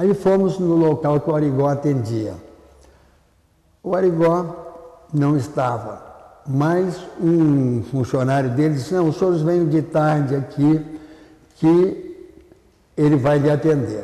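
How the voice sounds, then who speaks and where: A man's fairly high voice, very slow and very even in loudness, with long, frequent pauses, ordinary pitch variation and audible room echo. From southern Brazil, Porto Alegre. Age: 90s. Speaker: retired ophthalmologist. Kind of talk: oral history interview.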